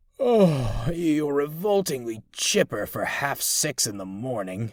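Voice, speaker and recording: A rumbling, put-on character voice goes at a fairly slow pace in a very clean recording with a silent background. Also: man, fairly high pitch for a man. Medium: read story. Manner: grumbling, reluctant.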